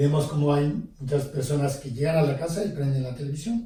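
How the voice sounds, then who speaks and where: Somewhat breathy and dark, mellow in tone, a man's fairly high voice moves at a fairly slow pace. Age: 70s. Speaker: priest. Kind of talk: interview. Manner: hesitant, with fillers.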